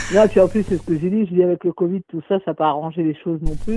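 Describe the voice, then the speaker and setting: A man speaks with a high pitch. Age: 40s. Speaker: caller. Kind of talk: phone-in call.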